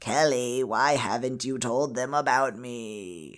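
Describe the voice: In a put-on character voice, the speaker talks at a fairly slow pace with a low-to-middle pitch and a creaky quality.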